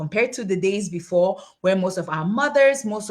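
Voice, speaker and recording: A woman speaks at a moderate pace in a medium, somewhat breathy voice. Her intonation is lively. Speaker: tax and finance educator, summit host. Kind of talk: online webinar presentation. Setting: livestream on social media. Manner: animated.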